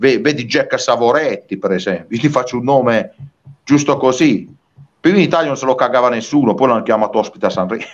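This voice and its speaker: Speaking at a very fast pace, a man with a medium pitch and ordinary pitch variation sounds animated. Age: 40s. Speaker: singer-songwriter. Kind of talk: interview.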